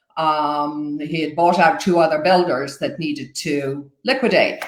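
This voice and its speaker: With an Irish accent and lively intonation, a woman speaks fairly slowly at a fairly low pitch, with audible room echo. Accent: Irish, retained. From Ireland, Dublin. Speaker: new home sales agent. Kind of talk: interview.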